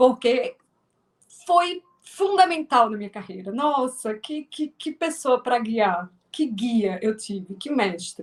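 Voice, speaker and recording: A woman with a strong northeastern Brazilian accent, high-pitched with very wide pitch swings, big swings in loudness and a very slow pace. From Northeast Brazil (Alagoas). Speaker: filmmaker and actress. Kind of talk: interview. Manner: halting, many repetitions.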